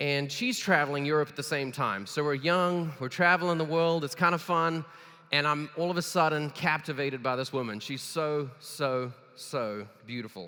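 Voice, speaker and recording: A man's fairly high, animated voice with a bright, sharp tone. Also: ordinary pitch variation. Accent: South African. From South Africa. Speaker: keynote speaker. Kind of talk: keynote speech. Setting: stage with audience. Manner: fast.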